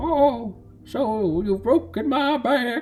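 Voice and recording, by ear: Faint music plays behind a put-on character voice pitched fairly high.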